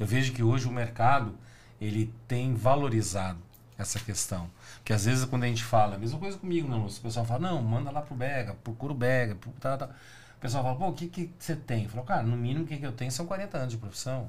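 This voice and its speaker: The man's voice is medium in pitch and somewhat breathy. He speaks at a very fast pace. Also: ordinary pitch variation. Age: 60s. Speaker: psychoanalyst. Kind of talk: casual chat. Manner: animated.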